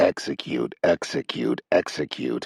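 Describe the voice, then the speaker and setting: Using a raspy, put-on character voice, a man speaks at a fairly slow pace, recorded with a dry, close sound and no echo. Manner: calm, monotone.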